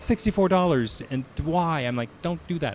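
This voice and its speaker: A man is speaking. His pitch swings very widely. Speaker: game streamer. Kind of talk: live gameplay commentary. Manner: casual, halting with fillers.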